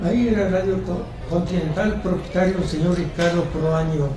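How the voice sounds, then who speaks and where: There is audible room echo and noticeable background noise. A man speaks at a moderate pace. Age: 90s. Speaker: retired civil servant. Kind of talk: interview.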